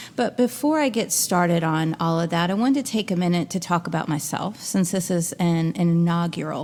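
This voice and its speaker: A woman speaks at a moderate pace in a fairly low voice. It is an ordinary speaking voice. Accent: American. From US Midwest (Louisville, Kentucky and Chicago). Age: 40s. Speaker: podcast host and interfaith minister. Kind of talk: podcast monologue. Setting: log cabin. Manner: casual, conversational with fillers.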